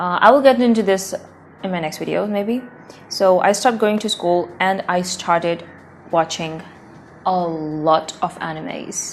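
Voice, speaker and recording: Speaking at a fairly low pitch and moderate pace with ordinary pitch variation, a woman is heard over noticeable background noise. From South Asia. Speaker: language learning vlogger. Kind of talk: casual vlog.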